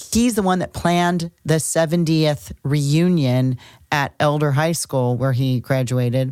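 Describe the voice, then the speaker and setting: A woman speaks at a very slow pace with a very deep, low pitch and a dark, mellow tone. Her intonation is lively, and the recording is very clean with a silent background. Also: very even loudness. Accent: American. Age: 60s. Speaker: astrologer, podcast co-host. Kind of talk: casual chat.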